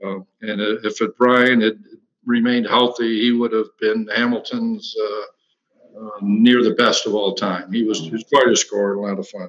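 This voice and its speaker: Man with an American accent, medium pitch, a flat monotone, and a moderate pace. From Western New York, Batavia. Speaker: former college basketball player. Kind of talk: casual interview.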